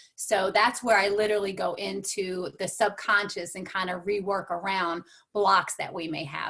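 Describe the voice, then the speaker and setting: A woman of medium pitch with an American accent, moderate in pace. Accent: slight twang. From New York. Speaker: transformational coach and speaker. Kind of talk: motivational talk.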